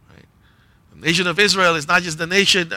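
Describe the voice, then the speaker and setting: Bright and sharp in tone, a man's voice carries vocal fry. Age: 40s. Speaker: pastor. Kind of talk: sermon.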